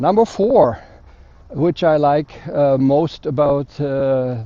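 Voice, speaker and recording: A man's fairly high voice with a German accent, ordinary pitch variation and a very slow pace. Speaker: motorcycle vlogger. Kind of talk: motovlog review. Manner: hesitant, many fillers.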